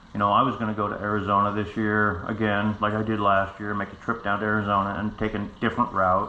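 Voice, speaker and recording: A man with an American accent and a bright, sharp tone talks at a fairly quick pace amid audible room echo. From United States. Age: 60s. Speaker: stroke survivor vlogger. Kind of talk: personal story to camera. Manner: halting; casual.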